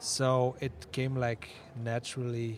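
A man's medium-pitched voice at a very slow pace. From Netherlands. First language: Dutch (speaking French). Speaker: musician. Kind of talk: interview. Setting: festival radio booth.

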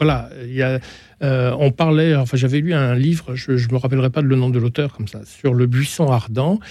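At a medium pitch, a man talks in a dark, mellow tone with fairly even intonation. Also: moderate pace. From France, Hautes-Alpes. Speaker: novelist and former editor. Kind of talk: radio discussion.

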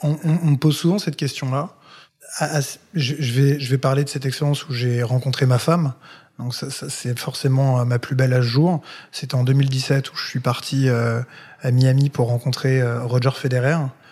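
At a moderate pace, a man with a medium pitch sounds somewhat breathy, his intonation fairly even. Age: 30s. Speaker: content creator. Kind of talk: interview.

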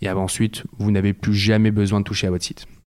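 At a very fast pace, a man talks in a fairly low voice over a silent background in a very clean recording. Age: 20s. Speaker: startup co-founder. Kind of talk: interview. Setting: office.

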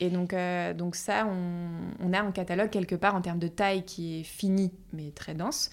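This is a plain, everyday voice. The pace is moderate. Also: woman, fairly low pitch for a woman, fairly even intonation. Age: 30s. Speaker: furniture company founder. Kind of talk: interview.

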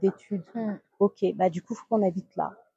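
In a dry, close recording with no echo, a woman speaks at a medium pitch and a moderate pace. Her voice is somewhat breathy, dark and mellow, with fairly even intonation. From Guadeloupe. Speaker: entrepreneur. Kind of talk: interview.

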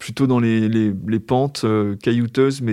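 A man talks at a medium pitch with a quiet background behind him. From Brittany, Brest. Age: 50s. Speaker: former journalist living with hemophilia. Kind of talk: casual interview while walking. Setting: outdoors on a walking trail, then café.

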